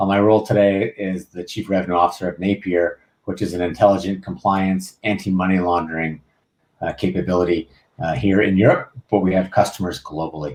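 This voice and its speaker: Here a man with an American accent uses an unremarkable speaking voice, fairly low in pitch, at a fairly quick pace. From California. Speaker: panel moderator. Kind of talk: panel discussion.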